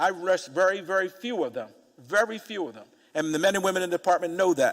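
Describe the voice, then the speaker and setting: Talking at a very fast clip, a man with a high voice uses lively intonation and big swings in loudness. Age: 60s. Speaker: police commissioner testifying at a hearing. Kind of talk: testimony at council hearing. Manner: halting, many fillers.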